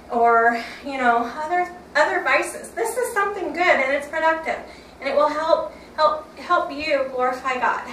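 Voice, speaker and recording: A woman talks at a moderate pace with lively intonation. Noticeable background noise and audible room echo surround her voice. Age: 50s. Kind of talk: workout tutorial. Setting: home workout room. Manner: loud when excited; casual, halting.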